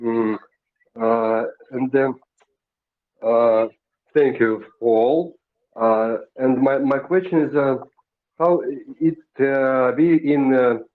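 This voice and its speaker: In a Russian accent, a man speaks very slowly with long, frequent pauses, at a medium pitch with ordinary pitch variation and very even loudness. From Russia, Siberia. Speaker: audience member asking questions. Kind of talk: audience question. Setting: group voice chat on a messaging app. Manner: halting.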